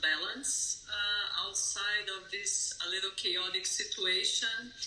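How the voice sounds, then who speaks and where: Amid noticeable background noise and audible room echo, a woman in a Brazilian accent speaks at a very slow pace. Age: 50s. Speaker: yoga teacher. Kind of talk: interview. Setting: remote call.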